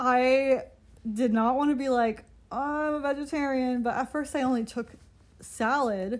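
Her pitch high with ordinary variation, a woman speaks in a very clean recording with a silent background. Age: 20s. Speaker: podcast host. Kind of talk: casual solo chat.

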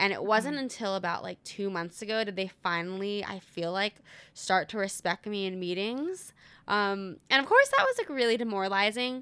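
In a very clean recording with a silent background, a woman speaks at a moderate pace with a bright, sharp tone. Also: medium pitch for a woman, ordinary pitch variation. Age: 20s. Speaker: graphic designer. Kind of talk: casual chat.

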